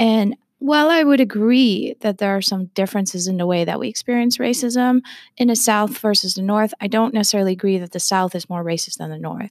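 In an unremarkable speaking voice with an American accent, the speaker talks at a fairly quick pace with ordinary pitch variation. The sound is dry and close with no echo, on a very clean recording with a silent background. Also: woman, medium pitch for a woman. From Texas. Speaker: podcast host, health equity center director. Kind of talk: interview.

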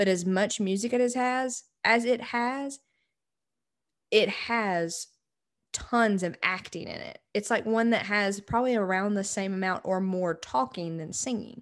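A woman's unremarkable speaking voice at a medium pitch, fairly slow in pace, with ordinary pitch variation against a quiet background. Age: 20s. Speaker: podcast co-host. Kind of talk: casual chat.

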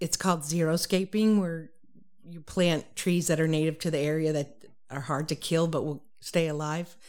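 With fairly even intonation and an American accent, a woman speaks in a very deep, low voice on a very clean recording with a silent background. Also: moderate pace. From Massachusetts. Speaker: rancher and water board candidate. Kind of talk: interview.

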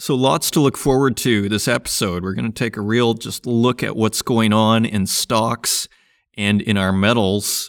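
A man's voice, medium in pitch, a plain, everyday voice at a fairly slow pace with fairly even intonation, dry and close with no echo, on a very clean recording with a silent background. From Saskatchewan, Canada. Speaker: podcast host. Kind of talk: solo market commentary.

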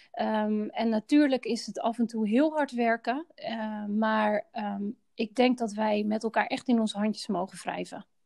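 In a dry, close sound with no echo, a woman with a fairly high pitch speaks at a fairly slow pace, with hardly any pauses and ordinary pitch variation. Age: 40s. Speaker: healthcare director. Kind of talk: personal interview. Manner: halting.

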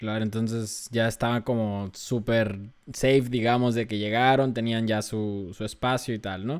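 A man's medium-pitched voice with a Mexican accent, fairly slow and monotone with flat intonation. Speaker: podcast host. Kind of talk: casual interview.

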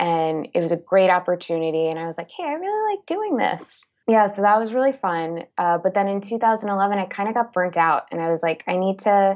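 A woman talks at a moderate pace. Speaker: creative producer at a media company. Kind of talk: interview. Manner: hesitant with fillers.

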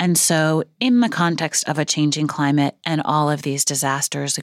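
A woman with an American accent speaks at a very deep, low pitch and a moderate pace with ordinary pitch variation, in a dry, close sound with no echo and a very clean recording with a silent background. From US Northeast, Brooklyn New York. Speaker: marine biologist and policy expert. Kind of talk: interview conversation. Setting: studio.

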